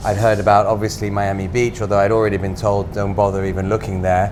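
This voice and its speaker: With audible room echo and noticeable background noise, a man speaks at a fairly low pitch in a monotone, flat intonation. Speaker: restaurateur. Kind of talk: casual interview.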